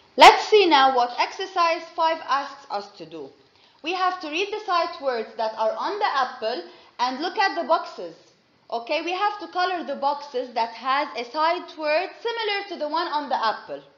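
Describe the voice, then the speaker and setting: A high-pitched woman at a moderate pace, with audible room echo. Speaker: kindergarten teacher. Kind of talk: classroom lesson. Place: classroom.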